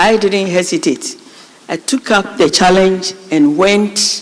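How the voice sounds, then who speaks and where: At a very slow pace, the words come through noticeable background noise. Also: woman. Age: 50s. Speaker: national service official. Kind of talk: speech to students.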